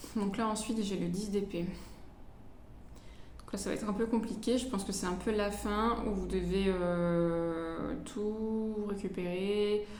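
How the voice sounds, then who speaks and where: Over noticeable background noise and audible room echo, a woman at a medium pitch talks very slowly with fairly even intonation. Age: 20s. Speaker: tarot reader. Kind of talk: tarot reading. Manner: hesitant.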